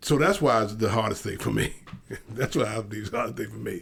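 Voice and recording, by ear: Vocal fry and a fairly bright tone at a fairly quick pace. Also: man, fairly low pitch for a man, ordinary pitch variation.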